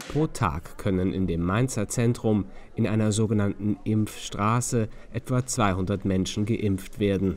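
At a fairly slow pace, a man in an unremarkable speaking voice talks with a fairly low pitch, very even loudness and ordinary pitch variation. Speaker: news reporter. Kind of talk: news report narration.

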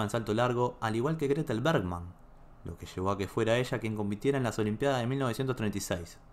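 This man's tone is dramatic. He talks at a fairly quick pace. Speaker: video narrator. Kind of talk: true-crime style storytelling narration, grave and suspenseful. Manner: measured, dramatic, steady storyteller pace.

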